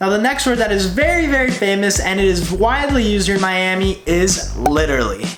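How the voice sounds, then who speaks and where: Over music in the background, a man talks at a fairly quick pace with hardly any pauses, high in pitch and with lively intonation. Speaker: YouTuber, college student. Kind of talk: casual talk to camera.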